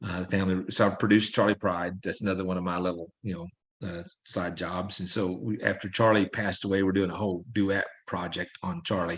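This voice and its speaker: A man with an American accent speaks at a fairly quick pace in a very deep, low pitch. His intonation is monotone and flat over a quiet background. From Southeast Missouri. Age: 60s. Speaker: country songwriter and singer. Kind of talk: interview. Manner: halting, many fillers.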